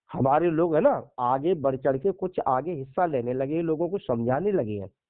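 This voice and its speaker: His pitch fairly high and its variation ordinary, a man talks in an unremarkable speaking voice. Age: 60s. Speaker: Buddhist monk and social activist. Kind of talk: casual phone conversation.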